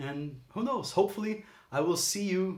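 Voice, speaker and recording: There is audible room echo as a man speaks in a somewhat breathy voice with a Portuguese accent. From Brazil. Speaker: aspiring voice actor, channel host. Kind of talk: casual vlog monologue. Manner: casual, rambling with self-corrections.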